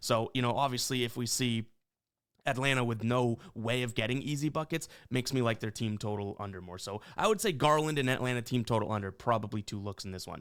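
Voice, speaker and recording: On a very clean recording with a silent background, a man talks at a very fast pace, his medium pitch carrying ordinary variation. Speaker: sports betting YouTuber. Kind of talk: sports betting picks monologue. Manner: animated.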